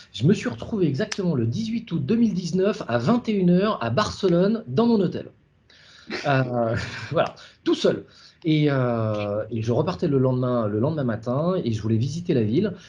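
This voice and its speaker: A man's fairly high voice has a dark, mellow tone and a somewhat breathy quality. He moves at a moderate pace with very wide pitch swings. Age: 40s. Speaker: startup founder. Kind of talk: interview. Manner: halting, many fillers.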